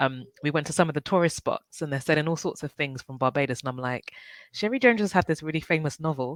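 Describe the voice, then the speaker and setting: A very fast delivery in a strong British accent, on a very clean recording with a silent background. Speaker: book club panel host. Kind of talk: casual conversation.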